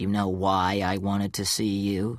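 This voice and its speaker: A man speaks at a fairly low pitch with an American accent. The recording is very clean, with a silent background. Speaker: audiobook narrator. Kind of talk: audiobook reading of a crime story.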